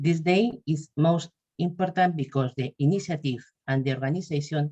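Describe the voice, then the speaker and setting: The voice has a Spanish accent and a dark, mellow tone that is somewhat breathy. It moves at a moderate pace with ordinary pitch variation. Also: woman. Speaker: patient association representative. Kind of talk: webinar presentation.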